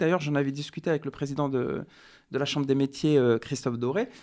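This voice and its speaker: In an ordinary speaking voice, a man talks at a fairly quick pace and fairly high pitch on a very clean recording with a silent background. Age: 40s. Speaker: research officer and community volunteer. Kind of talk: radio interview.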